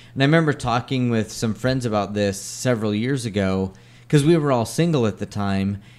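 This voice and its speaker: A normal speaking voice, fairly quick in pace and ordinary in pitch variation. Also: man, medium pitch for a man. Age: 40s. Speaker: podcast co-host. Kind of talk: casual chat.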